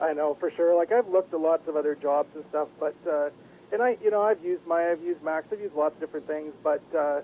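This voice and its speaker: With a Canadian accent, a man talks at a very fast pace in a fairly high pitch with ordinary pitch variation. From Canada, British Columbia. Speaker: caller, aspiring 3D artist. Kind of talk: casual chat.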